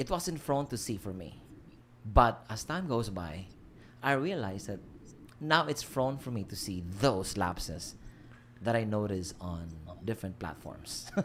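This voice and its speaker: Speaking at a fairly slow pace with long, frequent pauses, a man with a Filipino accent uses a fairly low pitch, very wide pitch swings and big swings in loudness. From Philippines. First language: Filipino language. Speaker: livestream host. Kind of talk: casual chat. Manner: halting.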